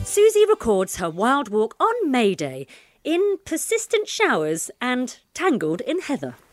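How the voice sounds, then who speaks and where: A woman's high-pitched voice with very wide pitch swings at a fairly slow pace, dry and close with no echo, over music in the background. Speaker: community radio podcast co-host. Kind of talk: casual chat and interviews. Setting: outdoors at a village afternoon tea.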